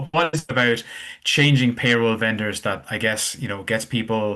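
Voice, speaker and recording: An Irish accent marks this man's bright, sharp voice, which sits at a medium pitch with ordinary pitch variation and a moderate pace against a quiet background. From Ireland. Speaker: webinar host. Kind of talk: webinar interview.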